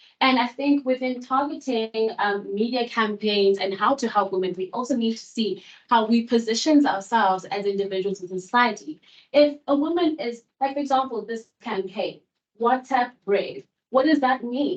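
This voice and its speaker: A woman with an unremarkable speaking voice, fairly high in pitch, at a moderate pace. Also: ordinary pitch variation. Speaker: seminar panelist. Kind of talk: academic seminar presentation.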